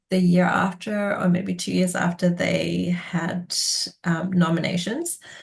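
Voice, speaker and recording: A woman speaks very slowly at a medium pitch, her voice somewhat breathy. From Indonesia. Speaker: political scientist. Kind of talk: oral history interview answer. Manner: hesitant, conversational.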